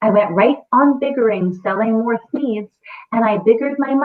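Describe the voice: A quiet background under plain reading aloud, its pitch varying in an ordinary way.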